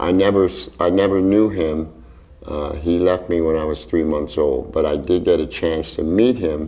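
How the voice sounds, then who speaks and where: Audible room echo surrounds a man's dark, mellow, somewhat breathy voice as he speaks at a fairly slow pace with ordinary pitch variation. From Philadelphia, Strawberry Mansion. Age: 70s. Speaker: jazz drummer. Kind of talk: interview. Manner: hesitant, with fillers.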